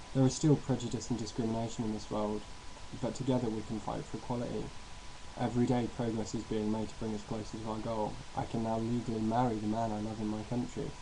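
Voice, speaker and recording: Over noticeable background noise, a man talks very fast at a medium pitch with monotone, flat intonation. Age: 20s. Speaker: university student. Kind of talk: personal testimony to webcam.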